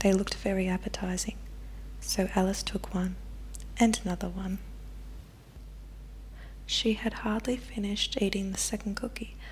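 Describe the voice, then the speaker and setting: The speaker keeps a moderate pace but takes long, frequent pauses. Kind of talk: ASMR bedtime story reading. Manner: softly spoken, whispering.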